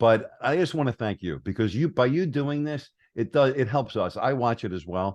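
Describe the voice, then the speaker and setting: A plain, everyday voice with an American accent speaks at a moderate pace with lively intonation. The background is quiet. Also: man. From New York. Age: 60s. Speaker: entrepreneur and marketer. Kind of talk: podcast interview.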